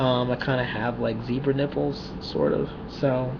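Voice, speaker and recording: A soft-spoken man talks fairly slowly at a medium pitch. Noticeable background noise and audible room echo are present. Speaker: vlogger. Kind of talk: personal video diary.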